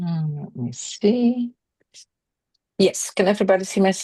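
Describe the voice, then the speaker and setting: Long, frequent pauses and big swings in loudness mark this woman's medium-pitched speech with a Dutch accent. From Netherlands. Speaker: equine veterinary specialist. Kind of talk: webinar presentation.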